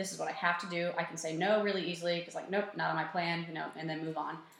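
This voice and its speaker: Audible room echo and noticeable background noise surround a woman speaking at a fairly low pitch. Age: 20s. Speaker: personal trainer. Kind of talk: casual chat. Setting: office.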